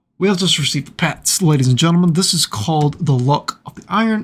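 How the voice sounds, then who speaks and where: The voice is quiet, with ordinary pitch variation. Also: man. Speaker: gaming video creator. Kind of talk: gameplay commentary. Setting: at home, father asleep next door. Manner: quiet, keeping voice down.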